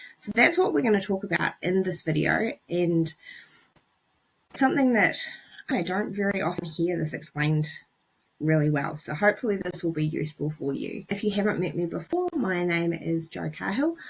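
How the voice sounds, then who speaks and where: In a New Zealand accent, the somewhat breathy voice moves at a moderate pace with ordinary pitch variation. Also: woman, fairly low pitch for a woman. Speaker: psychologist. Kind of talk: educational talk to camera. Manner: casual, plain-spoken.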